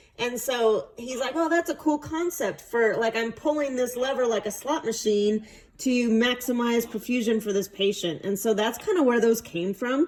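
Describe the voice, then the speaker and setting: Against noticeable background noise, a woman with a high pitch speaks at a moderate pace with ordinary pitch variation and hardly any pauses. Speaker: clinical nurse educator. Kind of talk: feedback on student presentation. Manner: casual, hesitant with many fillers.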